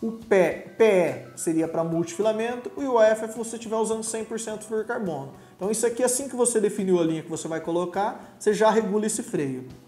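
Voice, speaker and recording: Faint music plays in the background and room echo is audible as a man speaks at a fairly quick pace, his high pitch showing ordinary variation. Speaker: presenter. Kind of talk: tutorial. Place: studio.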